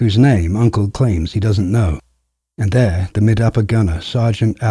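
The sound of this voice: Against a quiet background, there is an unforced reading voice with ordinary pitch variation.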